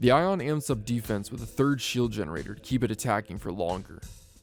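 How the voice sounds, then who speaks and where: Music plays in the background as a man talks at a fairly quick pace. His medium-pitched voice has lively intonation. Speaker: voice actor. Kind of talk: casual reading of game ship announcement with commentary. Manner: casual, unpolished.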